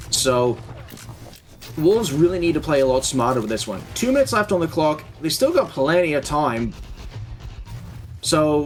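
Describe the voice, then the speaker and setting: Over background music, a man with a fairly high pitch and lively intonation talks at a moderate pace with long, frequent pauses. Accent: Australian. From Australia. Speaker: esports caster. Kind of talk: live commentary. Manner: animated.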